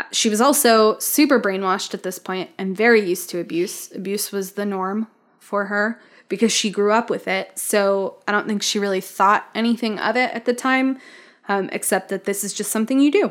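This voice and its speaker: At a moderate pace and medium pitch, a woman with a plain, everyday voice speaks with fairly even intonation on a very clean recording with a silent background. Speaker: podcast host. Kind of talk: casual chat with scripted case narration.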